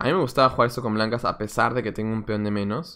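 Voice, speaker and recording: A man talks at a very fast pace in a bright, sharp tone, with ordinary pitch variation against a quiet background. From Peru, Lima; Peru. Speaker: chess coach and streamer; chess coach, streamer. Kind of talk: live stream commentary while playing chess. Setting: live stream. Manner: casual, thinking aloud. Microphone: webcam.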